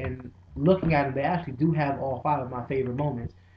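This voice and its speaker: A man speaks quietly with a fairly high pitch. His voice is somewhat breathy, with ordinary pitch variation. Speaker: video blogger. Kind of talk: casual vlog. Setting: dining room at home.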